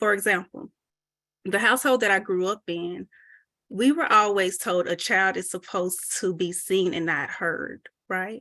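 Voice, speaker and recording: A bright, sharp, shaky voice in an American accent, fairly slow with ordinary pitch variation, in a dry, close sound with no echo and a quiet background. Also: woman, medium pitch for a woman. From US South. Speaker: mental health presenter. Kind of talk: presentation.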